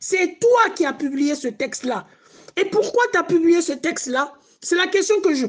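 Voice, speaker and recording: Very slowly, a man speaks at an extremely high pitch with lively intonation. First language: not French (speaking French). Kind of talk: heated debate. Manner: animated; halting.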